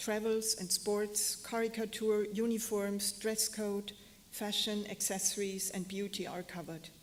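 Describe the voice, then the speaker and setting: A woman with a German accent at medium pitch, monotone and flat, at a fairly slow pace, with audible room echo and noticeable background noise. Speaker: fashion historian and curator. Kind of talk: lecture. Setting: stage with audience. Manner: halting. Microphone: echo, hearing herself twice.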